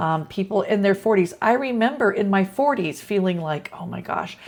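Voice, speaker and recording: With lively intonation, an ordinary speaking voice keeps a moderate pace. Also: woman. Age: 60s. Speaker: teacher. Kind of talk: casual talk to camera.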